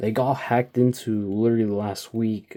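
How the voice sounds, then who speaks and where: Fairly even intonation in a dark, mellow male tone. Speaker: diecast toy reviewer. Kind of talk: casual vlog talk. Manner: quieter than usual; rambling, filler-heavy.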